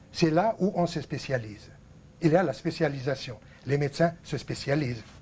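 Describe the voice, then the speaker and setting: With an Arabic accent, a man speaks at a moderate pace in a somewhat breathy voice with a fairly high pitch and ordinary pitch variation. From Lebanon. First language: Arabic (speaking French). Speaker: TV host, painting teacher. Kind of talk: televised talk to viewers, unscripted lecture. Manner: hesitant, many fillers.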